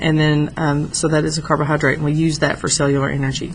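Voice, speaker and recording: A woman's very deep, low voice, flat and monotone, with audible room echo and noticeable background noise. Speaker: high school biology teacher. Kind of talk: lecture. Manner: fast.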